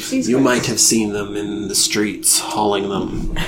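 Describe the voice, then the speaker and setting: A soft-spoken man uses a put-on character voice at a fairly low pitch and a fairly slow pace. Loud noise fills the background. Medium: actual play. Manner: slow, brooding, cryptic.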